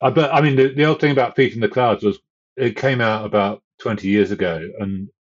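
Speaking with a southern English accent, this man keeps a fairly quick pace. His pitch is medium, with ordinary variation. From southern England. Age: 60s. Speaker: author and fell runner. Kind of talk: casual interview.

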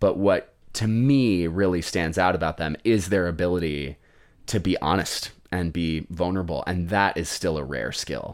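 A man speaks with an American accent at a moderate pace, his pitch very deep and low. His pitch varies in an ordinary way, and the recording is very clean with a silent background. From Colorado. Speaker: tutor and podcast host. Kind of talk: casual chat. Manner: animated.

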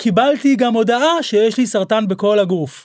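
A very clean recording with a silent background. A man is the one talking. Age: 40s. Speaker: celebrity stylist and podcast host. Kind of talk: casual chat.

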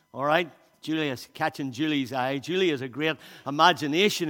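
With a Northern Irish accent, a man talks at a fairly quick pace in a bright, sharp tone. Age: 60s. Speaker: pastor. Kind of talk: sermon. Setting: church.

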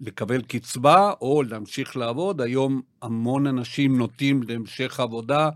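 A man speaks at a very slow pace with a South American accent. The recording is very clean, with a silent background. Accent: South American accent in Hebrew. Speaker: retirement financial planner. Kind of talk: podcast interview. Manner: halting, many fillers.

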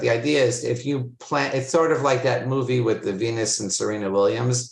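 The voice is somewhat breathy, with an American accent. Its intonation stays fairly even. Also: man. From Florida, US. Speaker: agency CEO. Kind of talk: interview conversation. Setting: video call.

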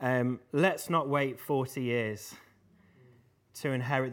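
With an English accent, a man of medium pitch and fairly even intonation speaks at a fairly slow pace in a very clean recording with a silent background. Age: 20s. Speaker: preacher. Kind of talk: sermon.

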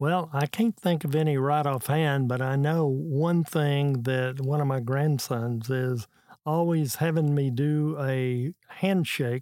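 Someone with an American accent speaks at a very slow pace. The loudness stays very even throughout. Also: man. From Texas. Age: 80s. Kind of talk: casual interview conversation.

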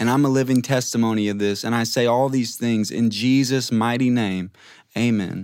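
With an American accent, a man speaks in an ordinary speaking voice at medium pitch and a moderate pace, his intonation fairly even and his loudness very even. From Louisiana, US South. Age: 20s. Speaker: Bible school student. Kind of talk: testimony.

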